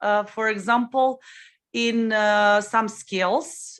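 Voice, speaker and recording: A woman's fairly high-pitched voice. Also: quiet background. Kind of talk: casual chat. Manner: loud.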